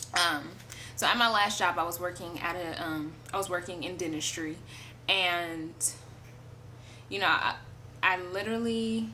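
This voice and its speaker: A loud woman with a fairly low pitch and a bright, sharp tone, with ordinary pitch variation, long, frequent pauses and audible room echo. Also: moderate pace. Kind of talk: testimony. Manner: casual, hesitant with many fillers.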